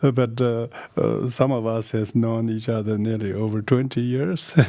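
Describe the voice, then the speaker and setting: A man's medium-pitched voice in a Tibetan accent, at a moderate pace with fairly even intonation. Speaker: Buddhist teacher. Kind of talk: dharma teaching. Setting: video call. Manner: halting.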